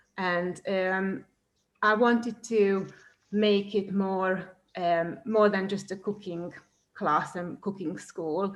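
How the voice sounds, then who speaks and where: A woman talks at a very slow pace with a Hungarian accent. Her intonation is monotone and flat. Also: medium pitch for a woman. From Hungary. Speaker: cooking teacher. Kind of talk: presentation. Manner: hesitant, many fillers.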